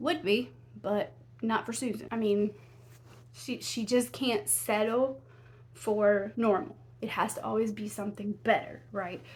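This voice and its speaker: With a Southern US accent, a woman at a fairly high pitch uses lively intonation and vocal fry, leaving long, frequent pauses. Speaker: true crime YouTuber. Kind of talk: casual storytelling narration. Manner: conversational, with many fillers and restarts.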